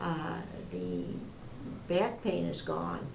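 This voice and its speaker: A woman speaks amid noticeable background noise, and room echo is audible. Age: 70s. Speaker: patient. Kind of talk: testimony. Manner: halting.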